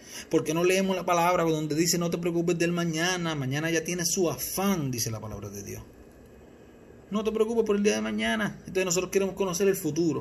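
A high-pitched man's voice in a Puerto Rican accent, with long, frequent pauses over light background noise. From Puerto Rico, Mayagüez; Puerto Rico. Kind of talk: religious teaching talk. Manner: halting, repeats words. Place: home room. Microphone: phone near.

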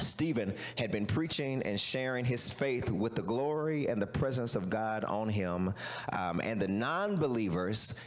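Using an ordinary speaking voice, a man talks at a fairly slow pace with a fairly low pitch and lively intonation. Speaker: pastor. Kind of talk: sermon. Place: church. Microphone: handheld.

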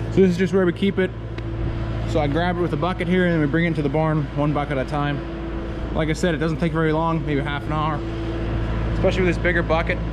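A man speaks very fast while noticeable noise carries on behind him. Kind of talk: casual vlog chat. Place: farm machine. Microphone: phone near.

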